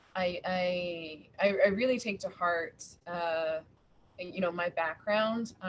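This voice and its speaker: Pitch varies in an ordinary way. Light background noise can be heard. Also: woman. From Washington DC, US. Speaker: museum public programs head; panelist. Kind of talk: panel discussion. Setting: video call. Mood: earnest, thoughtful. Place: home room. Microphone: video call.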